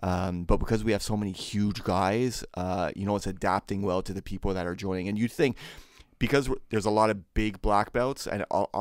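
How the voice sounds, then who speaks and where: A man's plain, everyday voice, fairly low in pitch and fairly quick, on a very clean recording with a silent background. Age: 30s. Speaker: podcast host. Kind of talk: casual chat.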